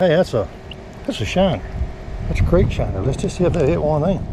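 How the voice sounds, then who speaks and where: In a Southern US accent, a man talks at a fairly quick pace. Noticeable background noise and audible room echo fill the recording. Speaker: fishing channel host. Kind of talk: outdoor vlog narration. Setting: outdoors by a creek. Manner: animated.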